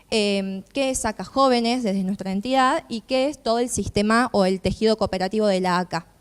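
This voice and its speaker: Recorded with a dry, close sound and no echo, a woman talks at a fairly quick pace with ordinary pitch variation. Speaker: youth cooperative representative. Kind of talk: panel talk.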